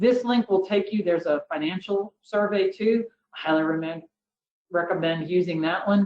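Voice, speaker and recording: A woman has a plain, everyday voice at a medium pitch. She speaks at a moderate pace with ordinary pitch variation. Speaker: finance consultant and firm CFO. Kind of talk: webinar presentation. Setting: online webinar.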